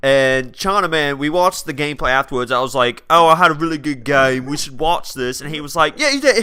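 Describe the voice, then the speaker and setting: Fairly high for a man, a bright, sharp tone at a fairly quick pace, with ordinary pitch variation. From South Wales. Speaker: gaming guest commentator. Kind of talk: casual gameplay commentary. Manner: animated.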